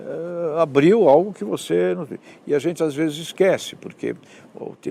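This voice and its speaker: Pitch swinging very widely, a man speaks at a moderate pace in a dark, mellow tone with vocal fry. The recording is very clean, with a silent background. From Brazil, Santos (São Paulo state). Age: 60s. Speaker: professor and author. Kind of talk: interview.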